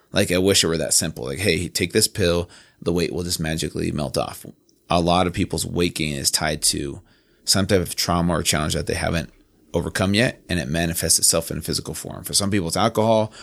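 Recorded very cleanly with a silent background, the speaker talks at a very fast pace in an American accent, with ordinary pitch variation. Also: man, very deep, low pitch for a man. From Southern California, then Virginia from age 13. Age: 30s. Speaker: fitness trainer and founder. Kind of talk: casual interview. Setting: podcast studio.

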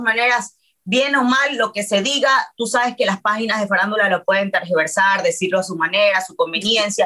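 The tone is bright, sharp and animated. The pace is fairly quick. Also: woman. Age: 30s. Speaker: reality TV personality. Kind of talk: casual chat.

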